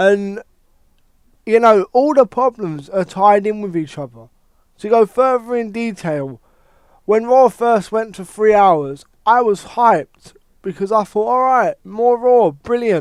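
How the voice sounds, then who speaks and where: Recorded dry and close with no echo, a man with a British accent speaks fairly slowly in a high voice with ordinary pitch variation. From UK. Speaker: wrestling commentator YouTuber. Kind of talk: casual rant. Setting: home recording with headset. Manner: animated.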